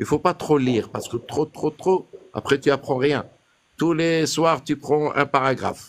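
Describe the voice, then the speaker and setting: Fairly even intonation and a fairly slow pace shape this man's fairly high-pitched delivery, an ordinary speaking voice. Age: 60s. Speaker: caller sharing naturalization interview experience. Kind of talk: casual chat.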